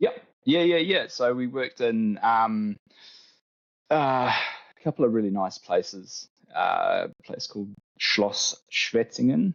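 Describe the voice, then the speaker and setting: A man speaks with a New Zealand accent at a very slow pace. His loudness swings widely. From New Zealand, Tauranga. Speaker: arborist, tree care business owner. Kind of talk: casual interview chat.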